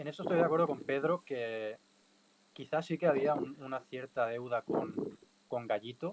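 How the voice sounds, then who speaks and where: Over noticeable background noise, a man with a Catalan accent speaks at a moderate pace and a fairly high pitch. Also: ordinary pitch variation. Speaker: bullfighting podcast panelist. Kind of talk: casual panel discussion. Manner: halting, many repetitions.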